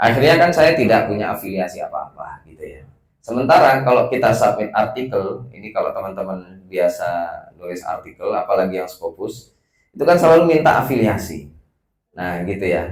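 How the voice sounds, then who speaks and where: Big swings in loudness mark a man's speech. He talks at a fairly quick pace. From West Sumatra, Padang. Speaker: research institute director. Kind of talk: welcome speech. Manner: casual, hesitant with fillers.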